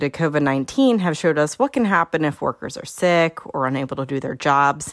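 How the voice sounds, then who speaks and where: At a very fast pace, a woman with a Pennsylvania accent speaks in a very deep, low pitch. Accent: Pennsylvania American. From York County, Pennsylvania. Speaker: podcast host, agricultural lending educator. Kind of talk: solo podcast talk.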